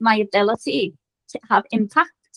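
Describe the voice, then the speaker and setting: In a strong Liverpool accent, a woman speaks with a dry, close sound and no echo. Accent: strong Scouse. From Liverpool, northern England. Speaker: business founder and coach. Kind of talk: podcast interview.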